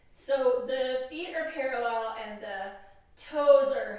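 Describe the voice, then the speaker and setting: A woman is speaking. Audible echo fills the room around her. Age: 60s. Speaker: yoga instructor. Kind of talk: tutorial. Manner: casual, conversational.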